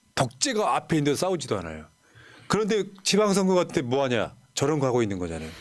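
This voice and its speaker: This man talks at a very fast pace, his fairly high pitch making very wide swings. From Gwangju, South Korea. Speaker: political YouTube host. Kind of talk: political interview.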